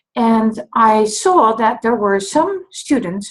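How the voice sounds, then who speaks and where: A woman with a slight Dutch accent speaks in a fairly high, somewhat breathy voice with lively intonation. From Netherlands. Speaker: dyscalculia tutor. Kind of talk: talk to camera, introduction and explanation.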